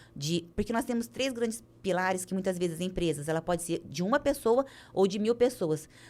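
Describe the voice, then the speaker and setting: On a very clean recording with a silent background, a woman speaks at a medium pitch with lively intonation. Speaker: business coach and speaker. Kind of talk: podcast interview. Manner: fast.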